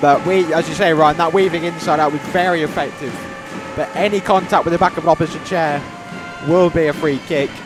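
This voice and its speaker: With music playing behind it, the talking runs at a fairly quick pace. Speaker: co-commentator. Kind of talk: live commentary. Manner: loud, near yelling.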